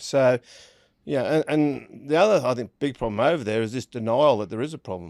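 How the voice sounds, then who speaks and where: Fairly quick and with lively intonation, a man of medium pitch speaks in a strong Australian accent, in a dry, close sound with no echo on a very clean recording with a silent background. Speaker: rugby league pundit. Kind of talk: casual chat.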